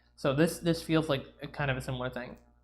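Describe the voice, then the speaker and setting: This woman's pitch sits very deep and low. She talks at a fairly quick pace. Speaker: congressional candidate streamer. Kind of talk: livestream commentary reading ballot texts. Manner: loud; halting, many fillers.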